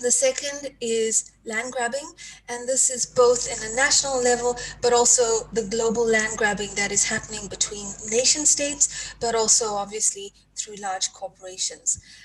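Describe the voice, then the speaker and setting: Amid noticeable background noise, a woman with a high pitch speaks at a moderate pace with fairly even intonation. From South Africa. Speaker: environmental activist. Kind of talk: panel discussion talk. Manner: hesitant, many fillers.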